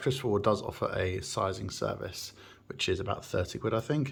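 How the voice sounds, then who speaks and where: Speaking with an English accent, a man keeps a moderate pace. There is noticeable background noise. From England. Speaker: watch enthusiast YouTuber. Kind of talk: unboxing review. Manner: casual, hesitant with fillers.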